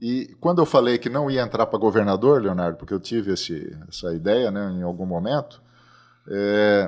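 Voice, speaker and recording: On a very clean recording with a silent background, a man with a normal speaking voice talks at a moderate pace with lively intonation. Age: 60s. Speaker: agronomist and seed company president. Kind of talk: podcast interview.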